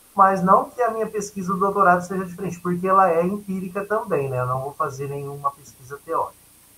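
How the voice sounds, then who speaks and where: A raised, projected voice at a very fast pace, with hardly any pauses and ordinary pitch variation. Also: man, high pitch for a man. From Brazil, São Paulo state (Catanduva). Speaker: educator, workshop trainer. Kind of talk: lecture. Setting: video call.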